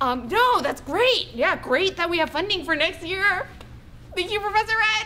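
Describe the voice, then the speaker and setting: A woman's raised, projected voice swings very widely in pitch. She keeps a moderate pace over light background noise. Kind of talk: acted phone call. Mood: awkward, eager to hang up. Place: home room. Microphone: camera far.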